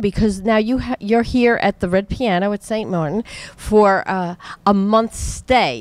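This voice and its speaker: Speaking at a moderate pace, a woman with a New York accent talks at a medium pitch. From US, New York. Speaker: show host. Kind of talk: interview. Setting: music venue.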